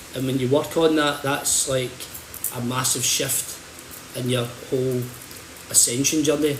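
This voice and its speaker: Amid noticeable background noise and audible room echo, a man with a Scottish accent talks at a fairly slow pace in a monotone, flat intonation, leaving long, frequent pauses. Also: medium pitch for a man. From Scotland, Hamilton. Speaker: holistic bodyworker and healer. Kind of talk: livestream talk. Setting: social media livestream. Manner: halting, repeats words.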